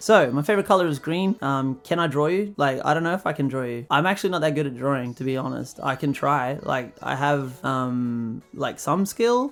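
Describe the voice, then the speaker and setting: Over background music, a man with an Australian accent speaks at a moderate pace and a fairly high pitch, with lively intonation and hardly any pauses. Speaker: vlogger and musician. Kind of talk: casual Q&A vlog. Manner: casual, hesitant with fillers.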